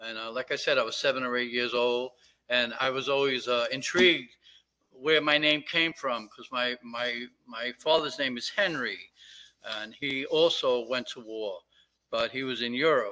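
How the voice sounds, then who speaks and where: Using an American accent, a man speaks in a medium pitch with a bright, sharp tone, fairly even intonation and big swings in loudness. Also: moderate pace. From Brooklyn, New York (Red Hook). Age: 70s. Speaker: relative of a fallen soldier. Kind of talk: public comment at meeting. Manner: halting, many fillers.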